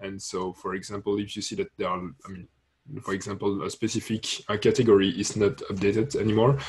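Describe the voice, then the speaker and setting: Somewhat breathy, a man talks at a very fast pace with a fairly low pitch. His intonation stays fairly even while his loudness swings widely. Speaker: open-source contributor. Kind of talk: online project meeting. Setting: video call. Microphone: video call.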